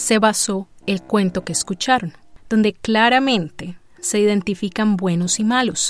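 A woman with a fairly high pitch speaks at a fairly slow pace. Her tone is dramatic, with ordinary pitch variation. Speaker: podcast narrator and producer. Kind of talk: scripted storytelling narration. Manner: dramatic, suspenseful narration with rhetorical questions.

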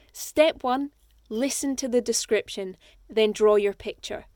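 On a very clean recording with a silent background, a woman with a Scottish accent speaks in a high pitch with ordinary pitch variation, the sound dry and close with no echo. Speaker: audiobook narrator and actor. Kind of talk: contest announcement; scripted narration.

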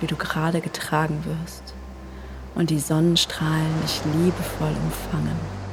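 Amid audible room echo and noticeable background noise, a woman speaks in a calm tone at a fairly slow pace. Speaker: meditation guide. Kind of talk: guided meditation. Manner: calm, slow; soft-spoken.

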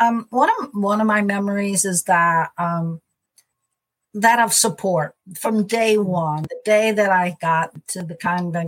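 A somewhat breathy woman with an American accent, medium pitch, ordinary pitch variation and a fairly slow pace. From US Midwest, St. Louis, Missouri. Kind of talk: interview conversation. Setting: video call.

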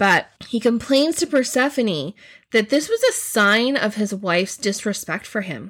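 A plain, everyday voice from a woman with a fairly high pitch and lively intonation, at a fairly slow pace in a very clean recording with a silent background. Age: 40s. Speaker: teacher / mythology podcast host. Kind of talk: educational podcast monologue.

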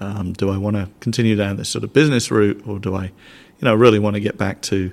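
With a southern English accent, a man talks at a very fast pace and a fairly low pitch on a very clean recording with a silent background. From southern England. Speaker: scientific institute director. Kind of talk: interview. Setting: in-person recording in a room.

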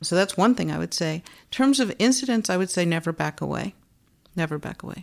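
A woman talks at a fairly quick pace with lively intonation and vocal fry. The recording is very clean, with a silent background. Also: medium pitch for a woman. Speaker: philosophy professor. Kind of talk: moderated interview discussion.

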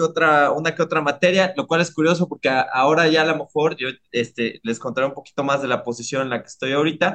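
Here is a man with a Mexico City accent. His tone is bright and sharp, and his pace is fairly quick. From Mexico City, Iztapalapa. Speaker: neuroscientist. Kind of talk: interview.

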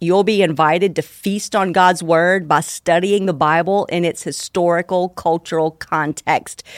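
A woman's plain, everyday voice at a medium pitch and a fairly slow pace, dry and close with no echo, on a very clean recording with a silent background. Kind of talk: guided prayer. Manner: calm, slow, unhurried; soft-spoken, gentle, reflective.

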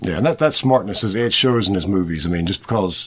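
A man mumbling very fast with lively intonation, over noticeable background noise. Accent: American. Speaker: podcast host. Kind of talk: casual interview. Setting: video call. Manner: mumbling, fumbles words.

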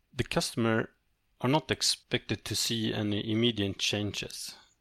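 A man speaks with a Swedish accent at fairly low pitch. The sound is dry and close, with no echo. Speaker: company CEO. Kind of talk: interview. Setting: online call. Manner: halting.

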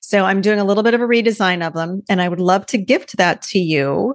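Speech comes at a fairly quick pace. The sound is dry and close with no echo, over a quiet background. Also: woman. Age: 50s. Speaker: podcast host. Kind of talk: solo monologue podcast. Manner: animated.

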